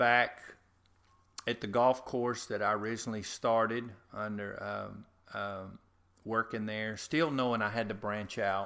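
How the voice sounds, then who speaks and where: A man with a Louisiana accent speaks at a very slow pace in a bright, sharp tone, his intonation flat and monotone, with long, frequent pauses. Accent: US Southern (Louisiana). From Louisiana, north of Covington. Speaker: head groundskeeper. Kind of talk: interview. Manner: halting.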